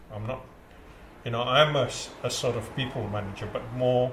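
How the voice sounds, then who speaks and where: A man speaks at a fairly slow pace in a medium pitch with fairly even intonation. Noticeable background noise runs behind him. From India. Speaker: community centre chief executive. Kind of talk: interview answer. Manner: hesitant, conversational.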